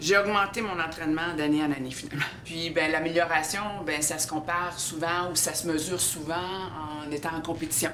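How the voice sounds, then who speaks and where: A woman's fairly low voice at a moderate pace, fairly even in intonation, with audible room echo and noticeable background noise. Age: 60s. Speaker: CrossFit athlete. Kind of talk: documentary interview. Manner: hesitant, many fillers.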